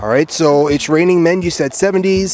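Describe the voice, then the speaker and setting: Noticeable background noise accompanies a man with a New York accent, whose fairly high pitch shows ordinary variation. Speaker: game show host. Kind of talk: street game show. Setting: outdoors on the street at night.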